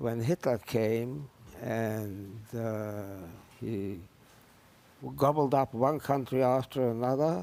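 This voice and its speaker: A man speaks at a very slow pace in a dark, mellow tone. His pitch sits in the medium range, with ordinary pitch variation. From Lithuania. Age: 80s+. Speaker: Holocaust survivor, retired professor. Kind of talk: TV interview testimony. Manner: halting, frequent hesitations.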